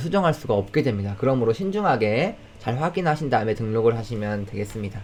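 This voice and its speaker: Speaking very fast, a man lets his pitch swing very widely. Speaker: software product presenter; presenter. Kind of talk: online product demo webinar. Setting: live video call. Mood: friendly, smiling.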